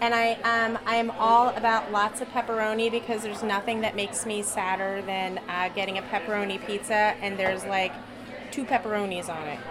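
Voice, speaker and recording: Fairly high in pitch, a woman talks quickly with an American accent and fairly even intonation. Noticeable background noise sits behind her. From Philadelphia, US. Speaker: chef and pizza maker. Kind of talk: casual interview chat. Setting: restaurant kitchen and patio.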